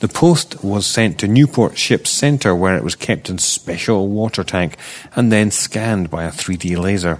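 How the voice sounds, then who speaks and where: A man with a Scottish accent, fairly low in pitch, with lively intonation at a fairly slow pace. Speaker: archaeology news podcast host. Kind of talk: news reading.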